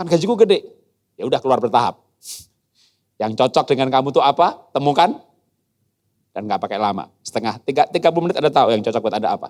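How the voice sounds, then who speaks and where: Someone speaks at a very fast pace with lively intonation. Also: man, dry, close sound with no echo. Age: 60s. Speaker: guest speaker, educator. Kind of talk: sermon. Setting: church youth service hall. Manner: animated.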